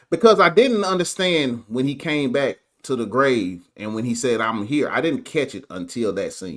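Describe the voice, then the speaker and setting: Recorded very cleanly against a silent background, a man with a strong Southern US accent, vocal fry and a fairly high pitch talks at a moderate pace with very wide pitch swings. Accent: strong southern twang. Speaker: guest movie reviewer, voice artist. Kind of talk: casual chat. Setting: live stream.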